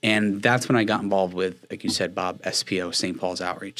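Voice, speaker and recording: This man has an American accent and a fairly low pitch, with monotone, flat intonation. The recording is very clean, with a silent background. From northeast New Jersey (Watchung). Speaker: faith-based campus ministry missionary. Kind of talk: interview conversation.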